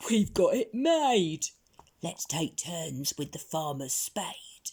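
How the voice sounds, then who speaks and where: A raspy, put-on character voice crawls at a very slow pace with very wide pitch swings. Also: woman, fairly low pitch for a woman. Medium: read story.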